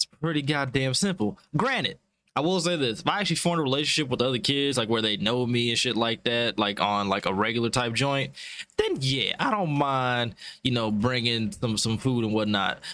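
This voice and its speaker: Fairly quick male speech with lively intonation, an animated tone and a bright, sharp sound. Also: medium pitch for a man. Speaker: podcast host. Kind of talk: casual podcast banter. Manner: animated, casual.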